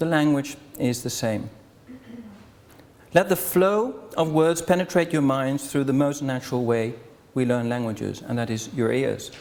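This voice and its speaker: A man with a non-native accent talks at a moderate pace. His voice is fairly high, with lively intonation. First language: Dutch. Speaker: association chairman opening a conference. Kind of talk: welcome speech. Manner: formal.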